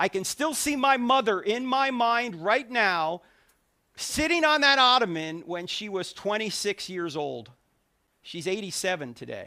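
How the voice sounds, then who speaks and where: With an American accent, the speaker uses a raised, projected voice in an animated tone, swinging very widely in pitch at a moderate pace. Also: man. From New Jersey. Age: 60s. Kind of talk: public talk. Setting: stage with audience.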